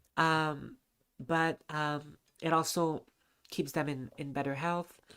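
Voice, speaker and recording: In a very clean recording with a silent background, a woman speaks very slowly. Her voice is very deep and low, with monotone, flat intonation. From Lebanon. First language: not English. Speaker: charity stream co-host. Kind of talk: live charity stream. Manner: halting, many fillers.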